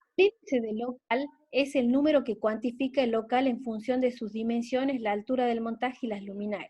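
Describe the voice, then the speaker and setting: A woman speaks at a moderate pace in a high pitch with ordinary pitch variation. Her tone is dark and mellow. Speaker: teacher. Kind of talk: lecture. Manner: halting.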